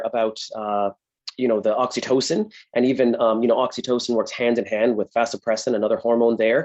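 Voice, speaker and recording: A man talks at a fairly quick pace with an American accent. His pitch sits in the medium range. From United States. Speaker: veterinarian. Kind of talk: podcast interview. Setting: live event recording. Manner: hesitant, many fillers.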